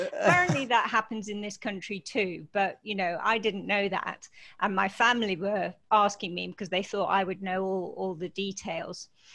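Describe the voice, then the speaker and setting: A woman's bright, sharp tone at a moderate pace, with fairly even intonation and hardly any pauses. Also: medium pitch for a woman. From Scottish Highlands. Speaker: university dean. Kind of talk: interview answer.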